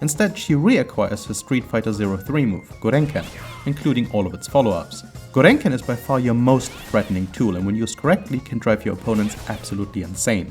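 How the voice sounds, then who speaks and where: Over music in the background, a man at medium pitch speaks very fast with lively intonation. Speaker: gamer, tutorial creator. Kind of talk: video game tutorial narration.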